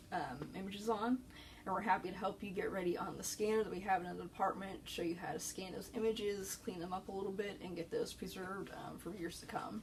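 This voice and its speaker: Soft-spoken and medium in pitch, a woman talks at a fairly quick pace with ordinary pitch variation over noticeable background noise. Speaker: librarian. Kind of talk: informational talk. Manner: hesitant with fillers.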